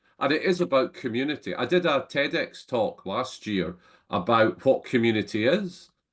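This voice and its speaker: In a Scottish accent, the voice moves at a moderate pace with vocal fry and very wide pitch swings. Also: man. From Scotland. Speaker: entrepreneur and business network founder. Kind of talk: interview conversation. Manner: halting, frequent repetitions.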